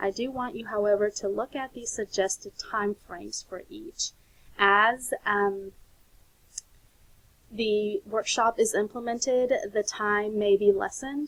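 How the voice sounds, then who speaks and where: In a normal speaking voice, a woman speaks at a fairly slow pace and fairly high pitch, with ordinary pitch variation and big swings in loudness, in a dry, close sound with no echo. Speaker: teacher trainer. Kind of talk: recorded lecture presentation.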